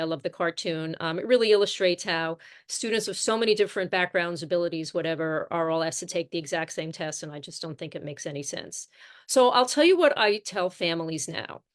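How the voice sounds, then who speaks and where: A woman at a very fast pace, fairly low in pitch with ordinary pitch variation and big swings in loudness, against a quiet background. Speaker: college admissions consultant. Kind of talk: presentation. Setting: live stream with screen share.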